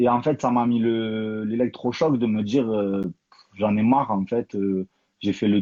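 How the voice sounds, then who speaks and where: At a moderate pace, a man speaks in an unremarkable speaking voice with a medium pitch and fairly even intonation. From Toulouse, southern France. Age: 30s. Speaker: professional boxer and coach. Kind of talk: interview.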